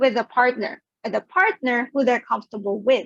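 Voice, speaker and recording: A woman speaks at a high pitch. Her voice is loud. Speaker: psychologist and sex therapist. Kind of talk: virtual talk presentation. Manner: animated.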